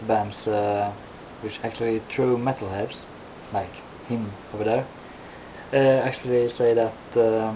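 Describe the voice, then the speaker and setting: A man's monotone, flat delivery broken by long, frequent pauses, with audible room echo and noticeable background noise. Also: medium pitch for a man, fairly slow pace. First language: not English. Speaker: metal vlogger. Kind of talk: casual vlog monologue. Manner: halting, many fillers.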